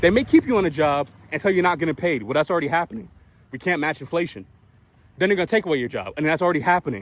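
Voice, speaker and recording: In a very clean recording over a silent background, a man talks at a very fast pace with a fairly high pitch, vocal fry, an animated tone and lively intonation. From United States. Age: 30s. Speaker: commentary vlogger. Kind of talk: casual monologue rant. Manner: animated, repetitive with stammering restarts.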